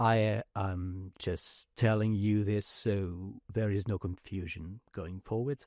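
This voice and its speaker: A man with a slight French accent, at a fairly low pitch and a very slow pace, fairly even in intonation with hardly any pauses, on a very clean recording with a silent background and a dry, close sound with no echo. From France. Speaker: podcast host. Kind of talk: casual podcast interview. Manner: hesitant, many fillers.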